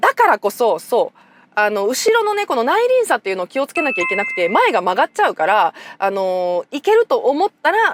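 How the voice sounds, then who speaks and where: A woman talking at a very fast pace with very wide pitch swings, music in the background. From Nara, Japan. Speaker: motoring journalist. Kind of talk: car review talk to camera.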